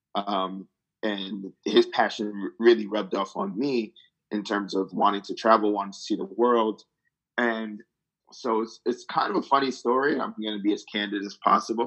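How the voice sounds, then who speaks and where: A man talks in a New Jersey accent at a moderate pace. His pitch is fairly low. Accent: American, New Jersey. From New Jersey, US. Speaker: travel company co-founder, strategy consultant. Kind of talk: interview, casual chat.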